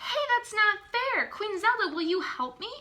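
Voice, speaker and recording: A woman puts on a squeaky character voice at an extremely high pitch. It moves at a moderate pace with very wide pitch swings. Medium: read story. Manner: blunt, outspoken.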